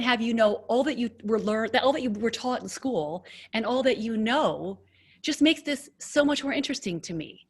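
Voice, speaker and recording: Swinging very widely in pitch, a woman talks at a high pitch and a fairly quick pace. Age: 50s. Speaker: podcast host. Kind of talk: interview conversation.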